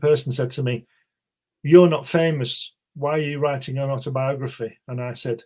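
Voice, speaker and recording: This man's voice sits at a fairly high pitch and sounds somewhat breathy. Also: fairly even intonation, moderate pace. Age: 60s. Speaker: author. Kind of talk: interview.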